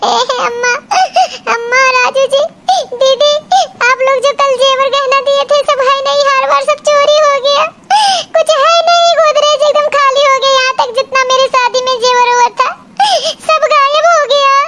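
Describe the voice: Doing a put-on character voice, a woman speaks at a moderate pace in an extremely high pitch with ordinary pitch variation and very even loudness.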